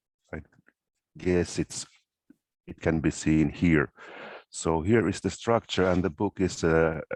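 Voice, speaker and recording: A man's very deep, low voice at a fairly slow pace, with fairly even intonation, long, frequent pauses and a quiet background. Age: 60s. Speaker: workshop participant, career coach. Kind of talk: workshop discussion. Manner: halting, many fillers.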